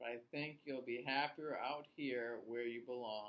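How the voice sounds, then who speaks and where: A put-on character voice at a low-to-middle pitch and a moderate pace. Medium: read story. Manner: upbeat, fond.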